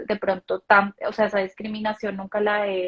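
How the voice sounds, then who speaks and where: A woman at a medium pitch with flat, monotone intonation. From Colombia. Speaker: banking manager, daughter of the host. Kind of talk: live stream conversation. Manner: halting, many fillers and restarts.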